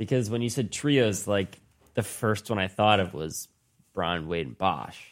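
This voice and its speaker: This man has an ordinary speaking voice with lively intonation at a fairly slow pace. The recording is very clean with a silent background. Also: fairly low pitch for a man. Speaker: college radio co-host.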